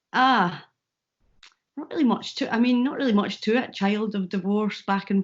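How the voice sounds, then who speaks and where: A woman speaks with a Scottish accent. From Scotland, Falkirk. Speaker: comedian and YouTuber. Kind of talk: interview.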